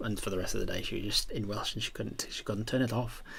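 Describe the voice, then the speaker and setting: A man's very fast speech with vocal fry and audible room echo. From Yorkshire, northern England. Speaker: game master and streamer. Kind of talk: casual livestream chat. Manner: animated, many fillers and restarts.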